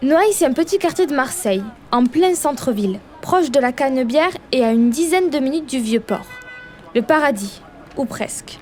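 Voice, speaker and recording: A woman with a southern French accent, high in pitch, with long, frequent pauses and music in the background. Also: lively intonation, moderate pace. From southern France, Perpignan. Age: 20s. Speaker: journalist. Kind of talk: scripted narration.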